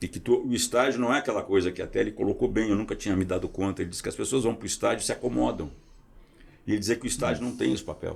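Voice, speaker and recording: Speech at a very fast pace in a very clean recording with a silent background. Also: man. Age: 70s. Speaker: podcast host. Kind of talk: casual interview chat.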